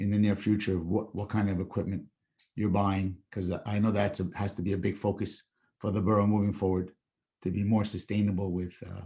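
Somewhat breathy, a man talks at a fairly quick pace. His pitch is fairly low. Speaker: public commenter at council meeting. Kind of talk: public comment. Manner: halting.

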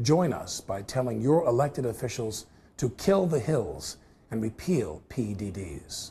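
A man speaks at a fairly slow pace with very wide pitch swings. His tone is dark and mellow, with vocal fry. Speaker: narrator of advocacy segment. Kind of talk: scripted advocacy narration. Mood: earnest, persuasive. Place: studio.

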